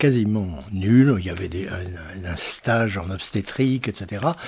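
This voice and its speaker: This man's voice is fairly low and somewhat breathy. He talks at a very slow pace. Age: 80s+. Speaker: retired doctor, activist. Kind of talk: testimony. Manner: halting, many hesitations.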